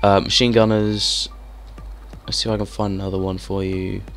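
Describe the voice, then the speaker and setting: Fairly quick talk from a man, music playing in the background. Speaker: video game reviewer. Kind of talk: gameplay commentary. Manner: casual, hesitant with fillers.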